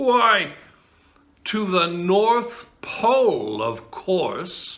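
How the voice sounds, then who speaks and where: A man uses a put-on character voice, pitched high and delivered at a very slow pace. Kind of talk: bedtime story. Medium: read story. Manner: friendly, assured.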